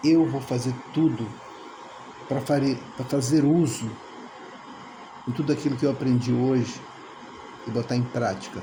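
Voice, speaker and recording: Speaking at a moderate pace with long, frequent pauses, a man uses a medium pitch and fairly even intonation. Audible room echo and noticeable background noise fill the recording. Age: 60s. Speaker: veteran dance teacher. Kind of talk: testimonial.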